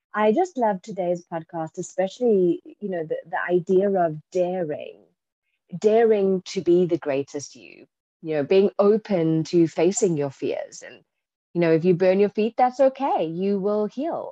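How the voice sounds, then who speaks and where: Dry and close with no echo, a woman's voice moves at a fairly slow pace in a dark, mellow tone, with medium pitch, ordinary pitch variation and big swings in loudness. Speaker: podcast host. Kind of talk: interview chat.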